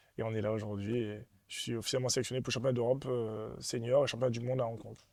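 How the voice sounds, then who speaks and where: The man talks at a very fast pace in a medium pitch. His intonation is monotone and flat. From Martinique. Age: 20s. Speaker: fencer. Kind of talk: interview.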